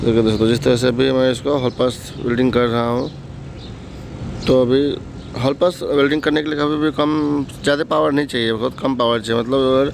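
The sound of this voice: A man with vocal fry speaks at a fairly quick pace and a medium pitch. His intonation is fairly even, and clear background noise is present.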